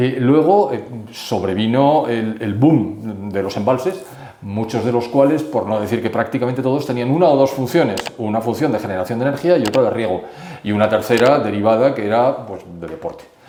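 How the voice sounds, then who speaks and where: The speaker's pitch varies in an ordinary way at a moderate pace. Audible room echo and noticeable background noise are present. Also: man, medium pitch for a man. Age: 70s. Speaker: economist. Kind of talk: interview.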